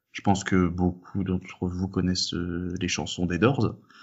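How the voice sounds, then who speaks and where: This is a man talking. He has a very deep, low pitch. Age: 20s. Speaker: physics student. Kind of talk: casual chat. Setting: Skype call.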